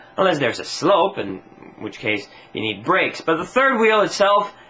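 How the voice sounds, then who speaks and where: A man speaks over noticeable background noise. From Sweden. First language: Swedish. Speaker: comedy vlogger. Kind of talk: comedic rant to camera. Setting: home video on camera tripod.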